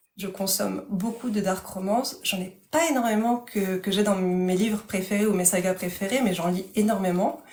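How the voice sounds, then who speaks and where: A woman's medium-pitched voice with ordinary pitch variation, against noticeable background noise. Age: 30s. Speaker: author. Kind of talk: casual chat. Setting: livestream. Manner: fast.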